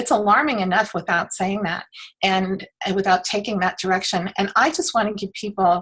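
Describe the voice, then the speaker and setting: A woman speaks in an ordinary speaking voice, at a medium pitch and moderate pace, with ordinary pitch variation. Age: 60s. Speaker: author and toxic-free living advocate. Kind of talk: interview.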